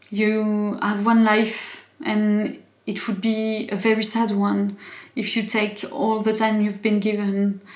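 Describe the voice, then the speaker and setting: A woman with a non-native accent speaks very slowly in a monotone, flat intonation. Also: fairly high pitch for a woman. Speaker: YouTuber. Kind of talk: casual vlog commentary. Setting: home, evening, in pajamas. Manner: halting, many fillers and restarts.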